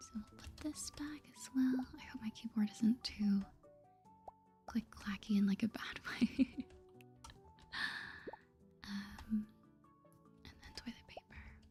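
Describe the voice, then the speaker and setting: The voice is soft-spoken and very slow, with long, frequent pauses. Music plays in the background. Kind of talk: soft-spoken asmr gaming commentary.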